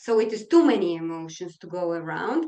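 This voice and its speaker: At a moderate pace, a woman in a Polish accent talks with very wide pitch swings. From Poland. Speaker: mediation trainer. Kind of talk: webinar presentation. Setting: online webinar. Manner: energetic.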